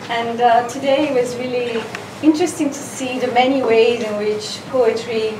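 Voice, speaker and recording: Noticeable background noise runs behind a woman's fairly high voice. She speaks at a fairly slow pace with fairly even intonation. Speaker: event host. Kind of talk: event introduction. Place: shop. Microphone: camera far.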